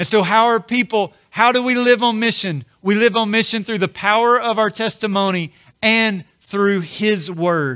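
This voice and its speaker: A man's raised, projected voice, high in pitch with a bright, sharp tone and ordinary pitch variation. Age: 40s. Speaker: pastor. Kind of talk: sermon.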